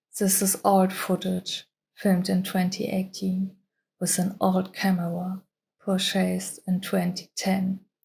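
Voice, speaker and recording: A woman speaks at a fairly slow pace in a medium pitch, with a dark, mellow tone and a somewhat breathy quality. The recording is very clean, with a silent background. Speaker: self-help vlogger. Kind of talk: motivational voiceover.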